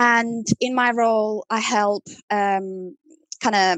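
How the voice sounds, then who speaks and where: A woman with an Italian accent speaks at a medium pitch, the sound dry and close with no echo over a quiet background. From Italy. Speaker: CRM marketing manager. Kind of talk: casual interview chat. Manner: hesitant, many fillers.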